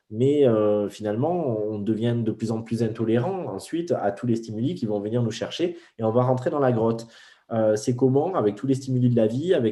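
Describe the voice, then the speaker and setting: A man with a medium pitch speaks in a dark, mellow tone. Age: 40s. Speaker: spiritual teacher. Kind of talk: interview. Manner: fast.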